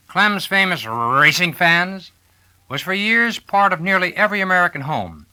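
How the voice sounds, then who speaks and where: A man talks at a moderate pace and a high pitch in a bright, sharp tone. The recording is very clean, with a silent background. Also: ordinary pitch variation. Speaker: narrator. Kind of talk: album narration.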